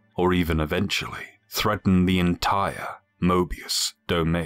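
Over music in the background, a man speaks very slowly with a very deep, low pitch and monotone, flat intonation. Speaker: voice actor. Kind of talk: lore narration.

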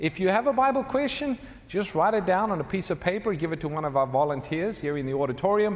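With very wide pitch swings, a man talks at a high pitch and a very fast pace. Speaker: host announcing program details. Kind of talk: live Bible study introduction. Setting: stage with audience. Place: church. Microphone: lapel.

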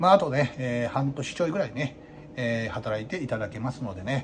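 A man talks at a moderate pace with a medium-pitched voice. Noticeable noise sits in the background. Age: 40s. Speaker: izakaya owner. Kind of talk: casual vlog monologue. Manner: many fillers and hesitations.

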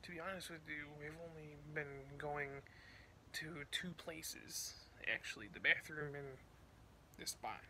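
A man at a fairly slow pace, with light background noise. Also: big swings in loudness. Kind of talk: casual vlog chat. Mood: bored, mildly agitated. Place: home room. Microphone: phone near.

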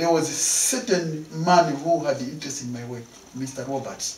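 A man speaks at a fairly slow pace. Some room echo can be heard. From Malawi. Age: 60s. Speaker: painter; interviewee. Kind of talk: interview; interview answer. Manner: halting. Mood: cheerful, laughing often. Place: home room.

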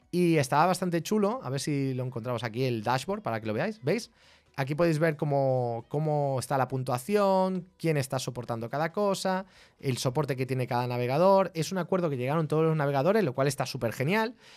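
Speaking with a Spanish accent, a man talks at a fairly quick pace and fairly high pitch in an animated tone. His intonation is lively, and the background is quiet. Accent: Peninsular Spanish. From Spain. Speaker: tech streamer. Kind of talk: live stream tech explainer. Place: home room. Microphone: studio mic.

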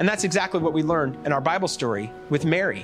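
A man is speaking. Clear music can be heard in the background. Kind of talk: sermon-style lesson for children. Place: stage. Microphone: lapel.

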